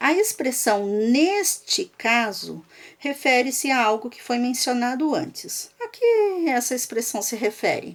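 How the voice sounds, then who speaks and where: The voice moves through very wide pitch swings at a very slow pace. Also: woman, high pitch for a woman. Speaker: school teacher. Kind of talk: lecture. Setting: recorded video lesson for remote students.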